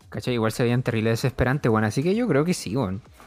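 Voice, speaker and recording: A man with a Chilean accent talks with music in the background. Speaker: podcast co-host. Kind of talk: casual chat.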